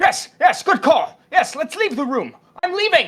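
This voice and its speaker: In a put-on character voice with an extremely high pitch, the speaker moves at a moderate pace. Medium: actual play. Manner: frantic, indignant.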